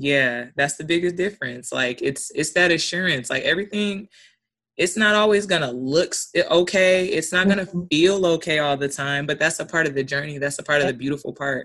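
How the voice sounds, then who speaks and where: A woman's very deep, low voice at a fairly quick pace, ordinary pitch variation, quiet background. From Alaska. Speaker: event planner. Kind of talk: interview testimony.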